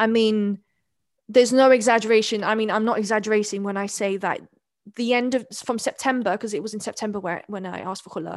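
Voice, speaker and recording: A woman talks at a very fast pace with a fairly high pitch and fairly even intonation. The background is quiet. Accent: English. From London (East London), born in South Wales. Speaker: convert and community mentor. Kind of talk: interview conversation.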